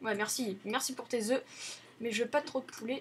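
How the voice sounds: A woman's fairly high voice at a fairly quick pace, with fairly even intonation.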